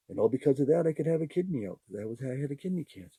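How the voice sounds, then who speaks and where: A man talks at a very fast pace in a fairly high pitch. His voice is somewhat breathy. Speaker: podcast host. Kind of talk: casual monologue. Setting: live podcast. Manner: animated.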